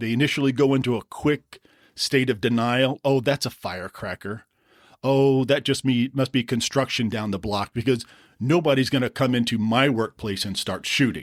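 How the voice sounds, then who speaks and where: A man at a medium pitch and moderate pace, fairly even intonation, in a very clean recording with a silent background and a dry, close sound with no echo. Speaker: podcast host. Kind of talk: safety explainer podcast. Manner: serious.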